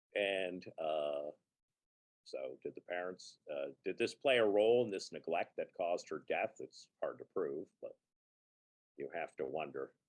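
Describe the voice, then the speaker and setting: Speaking at a fairly slow pace with long, frequent pauses, a man with an American accent comes through in a dry, close sound with no echo. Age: 60s. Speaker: freelance writer and independent scholar. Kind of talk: interview conversation.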